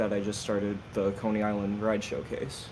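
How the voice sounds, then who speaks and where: There is audible room echo around a man's voice. He speaks at a moderate pace with a fairly low pitch. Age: 20s. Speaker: guest, game server builder. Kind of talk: casual podcast chat.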